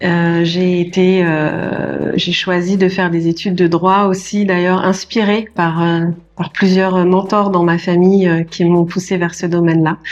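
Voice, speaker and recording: A woman's fairly low, monotone voice with flat intonation, a fairly slow pace and very even loudness, over noticeable background noise. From France, Paris region. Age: 40s. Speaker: notary. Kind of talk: podcast interview. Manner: hesitant, many fillers.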